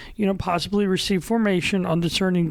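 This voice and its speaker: On a very clean recording with a silent background, a woman speaks at a fairly quick pace in a medium pitch. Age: 30s. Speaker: podcast host, diocesan newspaper staff writer. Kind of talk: casual podcast chat with announcements. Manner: loud, excited.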